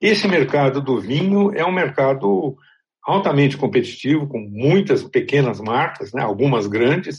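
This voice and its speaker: A man with a fairly high pitch speaks at a fairly slow pace, somewhat breathy, with lively intonation. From Brazil. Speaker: journalist and podcast host. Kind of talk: scripted narration; interview.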